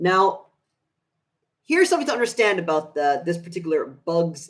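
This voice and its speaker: Lively intonation marks this man's speech. His pitch is high. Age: 20s. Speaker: VHS collector YouTuber. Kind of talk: live stream showcase. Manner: halting with many fillers.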